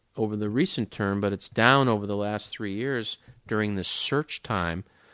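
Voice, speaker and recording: A man is heard against a quiet background. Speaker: stock market commentator. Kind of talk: casual monologue. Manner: disguised voice; halting.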